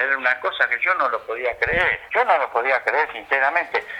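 Noticeable background noise sits behind a man's voice. He talks at a moderate pace with ordinary pitch variation. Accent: Rioplatense. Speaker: retired footballer. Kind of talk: interview.

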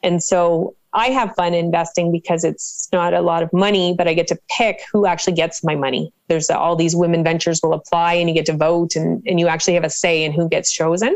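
Fairly quick with hardly any pauses, a woman speaks in an unremarkable speaking voice, fairly low in pitch, with fairly even intonation and very even loudness. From Canada, Cole Harbour, Nova Scotia. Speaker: financial educator and professor. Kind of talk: interview.

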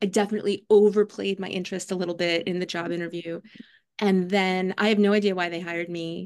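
A woman talks at a very fast pace with an American accent. Her medium-pitched voice stays monotone and flat. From New York City, Staten Island. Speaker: children's book author and writing teacher. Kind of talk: casual interview.

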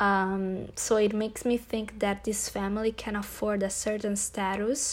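A woman speaks at medium pitch and a very slow pace. The recording is very clean, with a silent background. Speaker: podcast host and blogger. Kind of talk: casual monologue review; reading aloud. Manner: halting with many fillers.

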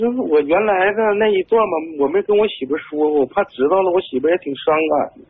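A man talks at a very fast pace. His voice is high in pitch. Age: 30s. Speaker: caller. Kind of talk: phone-in confession. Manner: halting, hesitant.

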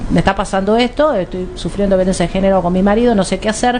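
A woman's voice over noticeable background noise. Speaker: radio host. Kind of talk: talk radio interview. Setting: radio studio.

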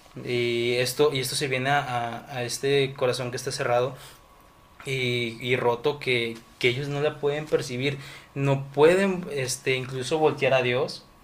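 Over noticeable background noise, a man with a medium-pitched voice talks at a fairly slow pace with fairly even intonation. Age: 20s. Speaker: civil engineering student. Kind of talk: casual chat.

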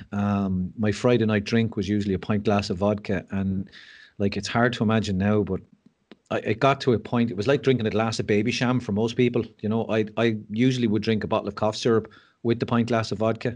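A man's fairly low, monotone voice with flat intonation at a fairly quick pace, over a quiet background. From Ireland. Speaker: mental health speaker. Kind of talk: casual chat.

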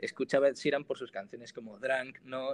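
This man, medium in pitch, has an unremarkable speaking voice and moves at a fairly quick pace. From Spain, Granada (Andalusia). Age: 20s. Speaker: singer-songwriter and student. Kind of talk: interview.

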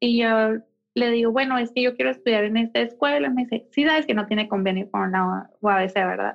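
With lively intonation and very even loudness, this is an unremarkable speaking voice. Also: woman, fairly high pitch for a woman. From Mexico, Mexicali, Baja California. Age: 20s. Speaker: interior designer and architect. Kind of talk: interview conversation.

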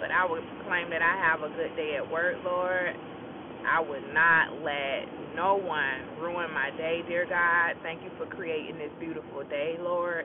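A warm tone comes through at a fairly slow pace over noticeable background noise. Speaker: podcaster giving morning encouragement. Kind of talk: morning devotional encouragement followed by a spoken prayer. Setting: recorded before work in the morning. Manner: warm, encouraging, earnest.

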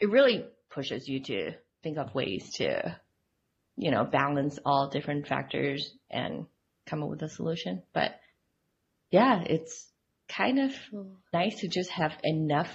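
Very deep and low for a woman, her voice moves at a fairly slow pace with very wide pitch swings and vocal fry. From Hong Kong. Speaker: UX designer. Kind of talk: casual interview.

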